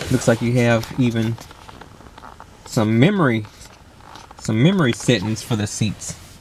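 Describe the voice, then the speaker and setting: There is noticeable background noise as a man speaks at a moderate pace with medium pitch and ordinary pitch variation. He leaves long, frequent pauses. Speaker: car reviewer. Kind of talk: casual car review walkthrough. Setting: inside a car. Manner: casual, conversational.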